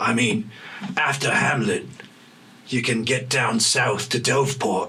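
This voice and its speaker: A man uses a put-on character voice at a medium pitch, with lively intonation and very even loudness. He goes at a fairly slow pace over clear background noise. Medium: actual play. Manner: guarded, terse, knowing.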